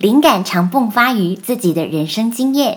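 The woman's voice is somewhat breathy, with a medium pitch and ordinary pitch variation. She speaks at a fairly slow pace. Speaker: podcast host. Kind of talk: scripted interview questions. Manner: formal.

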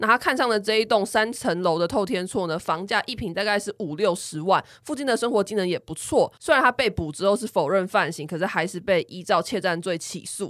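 This woman has a plain, everyday voice at a medium pitch, talking at a fairly quick pace with hardly any pauses and lively intonation, in a dry, close sound with no echo. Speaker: podcast co-host, planner. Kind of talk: casual chat.

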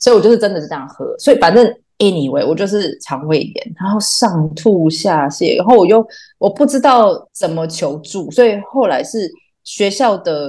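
With a Taiwanese accent, a woman talks at a moderate pace in a medium pitch, her dark, mellow tone carrying lively intonation. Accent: Taiwanese Mandarin. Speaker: theatre artist. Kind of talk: casual chat.

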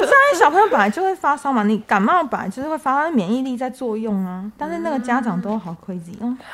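A woman talks in a high voice at a very fast pace with hardly any pauses and very wide pitch swings. There is noticeable background noise. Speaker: clinic nurse. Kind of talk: casual chat.

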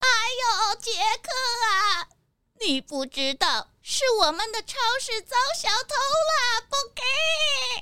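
A put-on character voice, female-sounding and pitched extremely high, moves at a very slow pace broken by long, frequent pauses. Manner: clucking, flustered, ends lines with a hen-like 不给.

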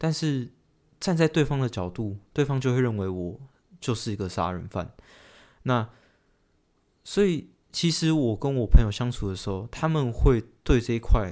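Speaking at a moderate pace and medium pitch, a man leaves long, frequent pauses on a very clean recording with a silent background. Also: lively intonation. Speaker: car crash survivor, law grad school applicant. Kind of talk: personal testimony in interview. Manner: halting.

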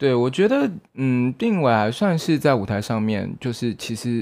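A man with a medium pitch. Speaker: podcast co-host, theatre performer. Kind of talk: casual chat.

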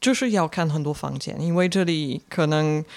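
Against a silent background on a very clean recording, a woman speaks at a moderate pace with a very deep, low pitch and ordinary pitch variation. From Belgium. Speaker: foreign guest living in Taiwan. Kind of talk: casual interview chat.

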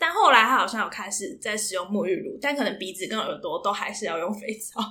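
Talking at a very fast pace, a woman speaks in a fairly high pitch. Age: 20s. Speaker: podcast co-host. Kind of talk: casual chat. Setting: in-person recording together.

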